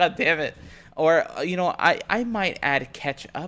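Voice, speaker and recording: This is a man with an American accent. He speaks at a fairly slow pace. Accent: southern US accent that slips out. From Texas. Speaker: vtuber streamer. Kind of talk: casual livestream chat. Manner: animated.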